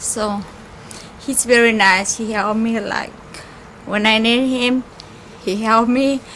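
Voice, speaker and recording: Against noticeable background noise, a woman with a fairly high voice speaks fairly slowly in a flat monotone, with long, frequent pauses. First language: Spanish. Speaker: caterer's worker. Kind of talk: memorial tribute.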